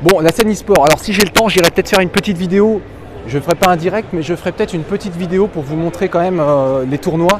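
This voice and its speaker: Against noticeable background noise, a man speaks at a very fast pace in a high pitch, his tone animated and his pitch variation ordinary. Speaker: gaming streamer. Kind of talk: live walkthrough stream. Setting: trade show floor. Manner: casual, animated; loud.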